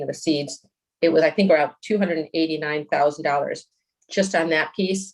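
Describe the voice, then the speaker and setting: Speaking at a fairly quick pace, a woman uses a very deep, low pitch and a monotone, flat intonation. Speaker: applicant's representative at zoning hearing. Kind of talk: public hearing presentation. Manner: fast.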